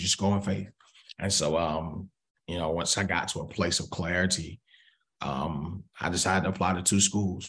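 Someone with an American accent speaks at a moderate pace with fairly even intonation. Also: man. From US South, Atlanta, Georgia. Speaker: pastor. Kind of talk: casual interview.

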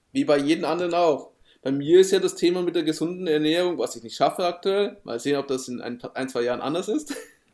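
On a very clean recording with a silent background, a man with a high pitch talks at a very fast pace in a lively intonation. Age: 30s. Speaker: podcast co-host, digital marketer. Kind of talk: casual chat.

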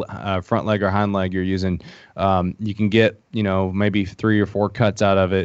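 In an Appalachian accent, a man talks at a moderate pace. His pitch is fairly low. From Appalachia, eastern Kentucky. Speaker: founder of a hunting social app. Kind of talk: casual podcast interview.

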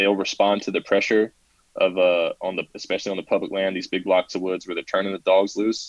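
A man's speech moves fairly quickly. He has a Southern US accent. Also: dry, close sound with no echo. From South Carolina. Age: 20s. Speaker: hunter and Air Force veteran. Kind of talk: casual interview.

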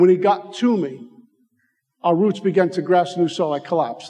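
Speaking with a New York accent, a man uses a high pitch and ordinary pitch variation. His pace is moderate. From Brooklyn, New York. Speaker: recovery speaker. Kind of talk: recovery testimony. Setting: stage with audience. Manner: animated.

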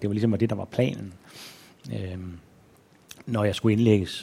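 Dark and mellow in tone, a man speaks at a moderate pace with a fairly low pitch and fairly even intonation. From Denmark, Aarhus. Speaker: author and journalist. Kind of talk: onstage interview. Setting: stage with audience.

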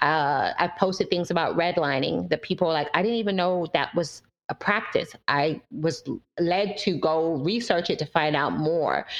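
Speaking with an American accent, a woman keeps a fairly low pitch, ordinary pitch variation, very even loudness and a moderate pace. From London, then Fort Lauderdale, Florida. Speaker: university professor. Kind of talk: interview conversation.

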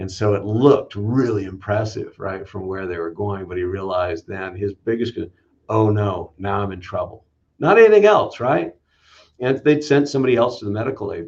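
A man speaks at a moderate pace in a fairly low, somewhat breathy voice. His loudness swings widely. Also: ordinary pitch variation, quiet background. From US West Coast, Los Angeles area. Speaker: fire chief. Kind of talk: interview. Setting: video call.

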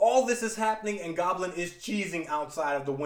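The clip is plain reading aloud. Nothing else is listed about the voice.

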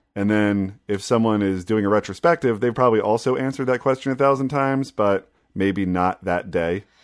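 Fairly low-pitched male delivery in a normal speaking voice, at a fairly quick pace with hardly any pauses and ordinary pitch variation. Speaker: podcast host. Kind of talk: casual chat.

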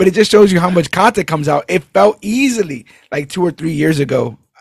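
An energetic man with an American accent and lively intonation, in a very clean recording with a silent background. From New York City (Brooklyn). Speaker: podcast host. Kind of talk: casual chat.

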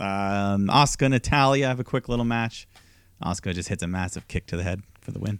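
The recording is very clean, with a silent background and a dry, close sound with no echo. A man with a plain, everyday voice speaks fairly quickly at a fairly low pitch, with ordinary pitch variation. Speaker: wrestling podcast host. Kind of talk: casual chat.

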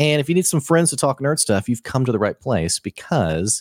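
The voice has vocal fry and very wide pitch swings. The recording is very clean and silent in the background, with a dry, close sound and no echo. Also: man. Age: 30s. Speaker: podcast co-host. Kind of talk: casual chat. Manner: animated.

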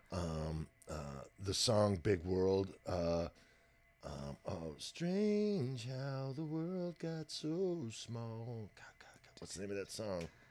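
A man with an American accent speaks at a very slow pace and a medium pitch. His pitch swings very widely, and his loudness swings a lot too. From Texas. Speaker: professional drummer. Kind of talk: casual interview about music.

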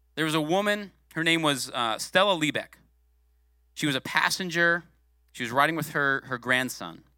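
Animated, bright and sharp, a man's fairly high voice moves at a moderate pace with ordinary pitch variation and long, frequent pauses. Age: 40s. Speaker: guest preacher, former youth pastor. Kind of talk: sermon. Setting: church.

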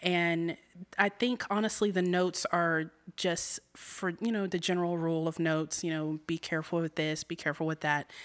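A woman with an ordinary speaking voice and an American accent talks at a moderate pace with a fairly low pitch and fairly even intonation, on a very clean recording with a silent background. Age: 30s. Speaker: community theater actress. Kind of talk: interview.

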